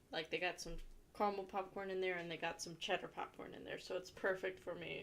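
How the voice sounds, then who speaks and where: A woman with an American accent, vocal fry, medium pitch and a moderate pace. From Ohio, US. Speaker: livestreamer. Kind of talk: casual chat.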